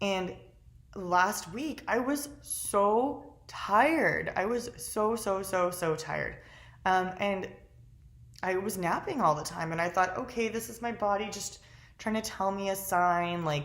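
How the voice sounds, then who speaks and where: Animated in tone, a woman speaks at a medium pitch with lively intonation and a fairly slow pace. Audible room echo surrounds her voice. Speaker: lifestyle vlogger. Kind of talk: casual vlog monologue.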